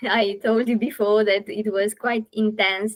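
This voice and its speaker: In a Romanian accent, a woman talks at a fairly slow pace and medium pitch with monotone, flat intonation. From Romania, Galați. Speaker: podcast host, family constellation facilitator. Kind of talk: interview conversation. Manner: halting, many fillers.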